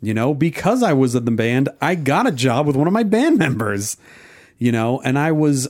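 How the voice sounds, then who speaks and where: Over a silent background in a very clean recording, a man with an ordinary speaking voice speaks at a fairly slow pace and medium pitch. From New Jersey and Oklahoma. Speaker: podcast co-host and editor. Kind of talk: casual chat.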